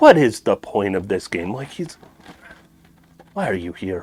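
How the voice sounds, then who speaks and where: A man mumbles. His pitch swings very widely. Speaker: speedrunner. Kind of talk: gameplay commentary. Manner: mumbling; soft-spoken.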